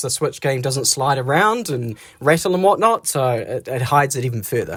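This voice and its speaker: In a New Zealand accent, the speech moves at a fairly quick pace on a very clean recording with a silent background. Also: man. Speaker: vlogger, single father. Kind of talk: casual vlog narration. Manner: whispering.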